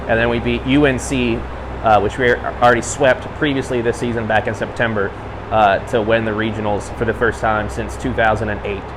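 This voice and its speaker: A man's fairly low voice at a fairly quick pace, with ordinary pitch variation, audible room echo and noticeable background noise. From Kentucky (Danville). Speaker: college hockey play-by-play announcer. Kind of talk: interview.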